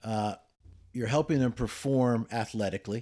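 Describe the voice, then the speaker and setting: On a very clean recording with a silent background, a man with an ordinary speaking voice talks at a moderate pace and a medium pitch. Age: 60s. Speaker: podcast co-host, educator. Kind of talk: casual chat.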